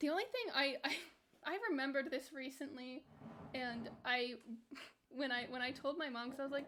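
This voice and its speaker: With an American accent, a woman with a high voice and a bright, sharp tone speaks at a moderate pace, leaving long, frequent pauses. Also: ordinary pitch variation. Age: 20s. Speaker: video game streamer. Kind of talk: casual livestream chat.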